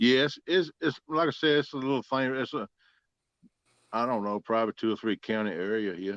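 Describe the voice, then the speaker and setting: A man's medium-pitched voice at a moderate pace against a quiet background. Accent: strong southern Virginia. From South Central Virginia. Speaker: catfishing angler. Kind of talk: casual chat.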